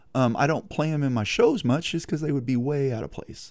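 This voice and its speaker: Using a dark, mellow tone, a man speaks in a Texan accent at medium pitch with ordinary pitch variation. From Texas. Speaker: singer-songwriter. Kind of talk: radio interview. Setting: studio.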